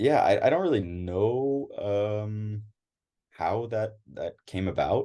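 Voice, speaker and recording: Speaking with an American accent, a man delivers his words at a very slow pace. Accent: American accent when speaking French. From United States. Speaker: interviewee, first-generation American. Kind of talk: casual interview. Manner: halting, many fillers and repetitions.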